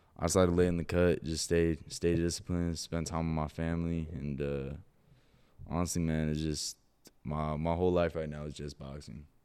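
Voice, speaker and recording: A man with a Californian accent speaks at a moderate pace in a very deep, low pitch and a dark, mellow tone, his intonation monotone and flat. The recording is very clean, with a silent background. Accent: Californian American. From Southern California, Orange County. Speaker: professional boxer. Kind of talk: casual chat.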